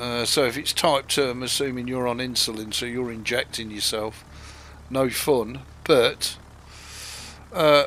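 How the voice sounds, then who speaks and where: Using a northern English accent, a man speaks at a moderate pace with medium pitch and monotone, flat intonation. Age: 60s. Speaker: gaming streamer. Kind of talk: live gameplay stream chat. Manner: casual, hesitant with fillers.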